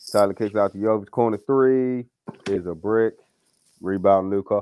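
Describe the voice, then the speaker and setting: A man's fairly low, dark and mellow voice with fairly even intonation and long, frequent pauses, in a dry, close sound with no echo. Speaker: sports livestream co-host doing play-by-play. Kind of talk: fan-style live play-by-play commentary. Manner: rapid, detailed possession-by-possession narration with profanity.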